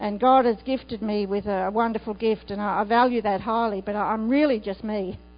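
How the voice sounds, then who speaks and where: A woman at a fairly high pitch, with fairly even intonation, a moderate pace and hardly any pauses, over music in the background. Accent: Australian. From Australia. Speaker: itinerant preacher. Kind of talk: sermon. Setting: church.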